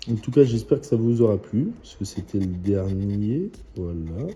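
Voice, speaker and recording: A quiet, somewhat breathy man's voice, fairly low in pitch with a dark, mellow tone, ordinary pitch variation, and a fairly slow pace. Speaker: scratch-card YouTuber. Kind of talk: casual vlog commentary. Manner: hesitant.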